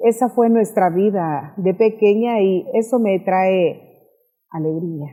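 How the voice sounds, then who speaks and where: A woman with a medium pitch talks at a very slow pace, her pitch varying in an ordinary way. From El Salvador, San Salvador. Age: 60s. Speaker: pastor. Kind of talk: testimony.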